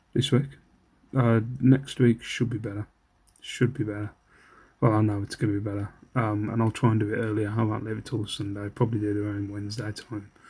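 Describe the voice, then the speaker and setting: Quiet and somewhat breathy, a man speaks at a fairly quick pace in a flat monotone, his fairly low pitch carrying a dark, mellow tone on a very clean recording with a silent background. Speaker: online reseller vlogger. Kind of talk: casual vlog. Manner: quiet, keeping voice down.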